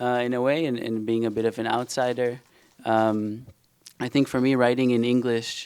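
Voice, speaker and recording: A man speaks with an Israeli accent at a moderate pace. His intonation is monotone and flat. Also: medium pitch for a man. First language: Hebrew. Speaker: novelist. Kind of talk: panel discussion. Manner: halting, many fillers.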